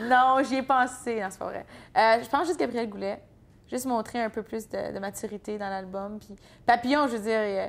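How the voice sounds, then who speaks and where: Spoken at a moderate pace in an Ontario accent, this voice shows big swings in loudness and ordinary pitch variation on a very clean recording with a silent background. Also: woman, fairly high pitch for a woman. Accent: Franco-Ontarian. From Franco-Ontario, Bourget area (eastern Ontario). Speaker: country singer. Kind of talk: interview. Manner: casual, hesitant with fillers.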